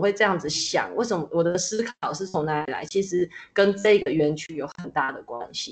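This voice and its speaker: Using a normal speaking voice, a woman of medium pitch talks at a moderate pace with lively intonation. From Taiwan, Nantou (Jiji). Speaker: art teacher and school founder. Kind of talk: interview.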